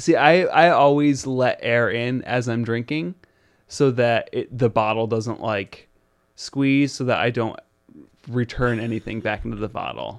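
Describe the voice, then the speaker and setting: A man speaks at a fairly slow pace in an unremarkable speaking voice. His pitch sits in the medium range, with ordinary variation. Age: 20s. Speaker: podcast co-host. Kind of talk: casual chat.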